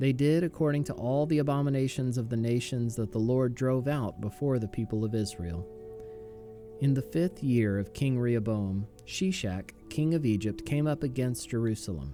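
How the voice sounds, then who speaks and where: A man talks with lively intonation as music plays in the background. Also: medium pitch for a man, moderate pace. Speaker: pastor, Bible reader. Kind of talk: scripture reading, daily Bible audio.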